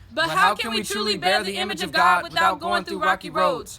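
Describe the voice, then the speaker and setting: A woman at a medium pitch, fairly quick, with very wide pitch swings and noticeable background noise. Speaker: spoken word poet. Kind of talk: spoken word poetry performance, often in call-and-response with a partner.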